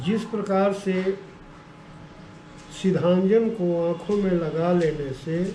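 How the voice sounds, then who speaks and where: A man with a high pitch speaks in a fairly even intonation against noticeable background noise. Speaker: religious text reciter. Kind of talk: scripture reading with explanation.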